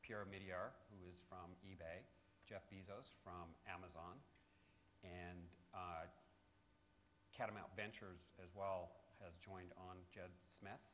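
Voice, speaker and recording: A man's very deep, low voice in an American accent, monotone and flat, with long, frequent pauses and audible room echo. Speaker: company representative presenting at a conference. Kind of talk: conference presentation. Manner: fast.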